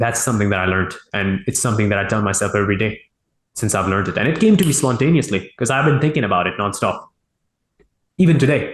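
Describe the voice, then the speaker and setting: Speaking at a very fast pace, a man with a non-native accent uses lively intonation at a medium pitch, his voice somewhat breathy. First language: not English. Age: 20s. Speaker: e-commerce entrepreneur, interview guest. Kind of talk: interview. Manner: halting, self-correcting.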